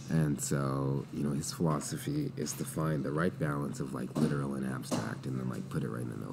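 In a room with audible echo and noticeable background noise, a man with a very deep, low pitch speaks at a moderate pace with fairly even intonation. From Saskatchewan, Canada. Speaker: entrepreneur and former athlete. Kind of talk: casual interview.

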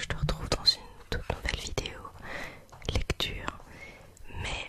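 A woman's whisper at a fairly slow pace. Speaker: ASMR artist. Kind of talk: casual talk to camera, bloopers. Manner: whispered. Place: home room. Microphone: studio mic.

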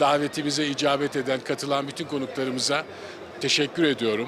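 A man with a fairly high pitch speaks fairly quickly in a monotone, flat intonation over noticeable background noise. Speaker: provincial governor. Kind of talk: official ceremony speech.

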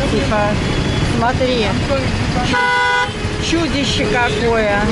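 Amid loud background noise, a woman talks at a very slow pace, the sound dry with no echo. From Russia, Saint Petersburg. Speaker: travel vlogger. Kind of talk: casual vlog talk to camera. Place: car. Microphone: phone near.

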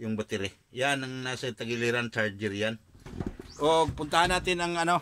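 A man's medium-pitched voice with lively intonation at a moderate pace, over noticeable background noise. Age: 40s. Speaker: vlogger. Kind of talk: casual vlog.

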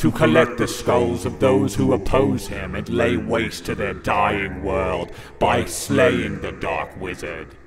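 Loud background noise fills the recording. Over it, a man talks fairly slowly. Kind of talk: mock-epic trailer narration. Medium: comedy sketch. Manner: portentous, solemn.

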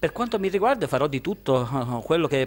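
A man with a Sicilian accent, very fast pace and lively intonation. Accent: Sicilian accent kept. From Sicily, Termini Imerese; Sicily. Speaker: author; interviewee. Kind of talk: interview. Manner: halting, repeats words. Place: shop. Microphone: handheld.

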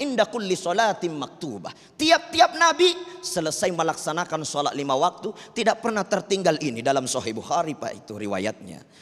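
The speaker has a Makassar accent, and the pitch swings very widely. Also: man. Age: young. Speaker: Islamic preacher. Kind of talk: sermon. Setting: mosque with audience. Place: studio. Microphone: handheld.

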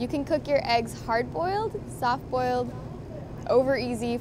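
A woman speaks at a fairly slow pace, her voice dry with no echo, over noticeable background noise. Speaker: language teacher. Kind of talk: tutorial. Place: shop. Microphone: camera far.

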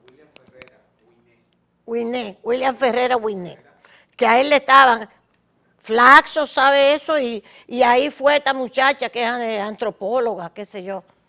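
A woman with a Dominican accent speaks in a high, bright and sharp voice with an animated tone, at a fairly slow pace with long, frequent pauses and big swings in loudness against a quiet background. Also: ordinary pitch variation. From Dominican Republic. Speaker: political talk show host. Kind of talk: opinionated commentary monologue. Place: studio.

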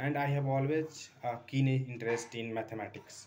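Spoken in an Indian accent at a moderate pace, the delivery has monotone, flat intonation over light background noise. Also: man. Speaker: maths tutor. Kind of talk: self-introduction for a job interview. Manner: hesitant, many fillers. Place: home room. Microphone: phone near.

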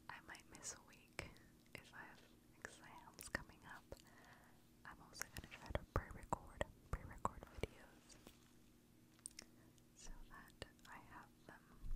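A woman is whispering at a fairly slow pace. She takes long, frequent pauses. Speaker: ASMR creator; student pursuing medicine. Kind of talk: whisper ramble, casual talk to camera. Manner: whispered, soft. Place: home room. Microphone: studio mic.

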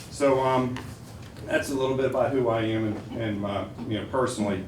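A man with an American accent talks at a fairly quick pace with fairly even intonation. Noticeable background noise and audible room echo fill the recording. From Western Pennsylvania, Cranberry. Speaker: insurance agent. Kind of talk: sales pitch. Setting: school board meeting. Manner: loud when nervous.

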